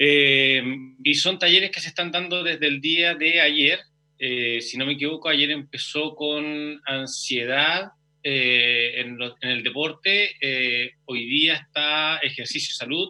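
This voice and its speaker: Speaking at a very slow pace, a man has a fairly high pitch and ordinary pitch variation. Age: 40s. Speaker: physical education teacher. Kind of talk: interview.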